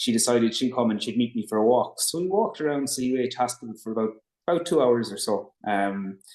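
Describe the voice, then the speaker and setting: A man speaks at a medium pitch and a fairly quick pace, with fairly even intonation over a quiet background. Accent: Limerick. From Ireland, Limerick. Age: 30s. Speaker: brain tumour patient. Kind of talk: interview.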